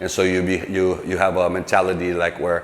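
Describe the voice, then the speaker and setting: A man with a very deep, low voice speaks at a fairly quick pace over noticeable background noise. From Philippines (Pampanga, Angeles City). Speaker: recording artist. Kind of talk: interview. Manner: halting.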